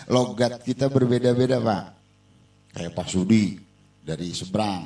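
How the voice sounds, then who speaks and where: Long, frequent pauses break up a delivery at a moderate pace. The tone is dark and mellow, with ordinary pitch variation. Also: man. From Jakarta (Betawi). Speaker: religious teacher. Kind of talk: religious lesson.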